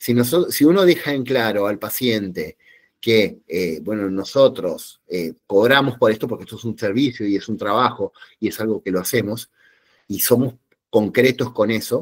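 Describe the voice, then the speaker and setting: On a very clean recording with a silent background, a man speaks at a moderate pace in a medium pitch. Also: ordinary pitch variation. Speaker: psychologist giving a talk. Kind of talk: lecture. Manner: animated, with many fillers.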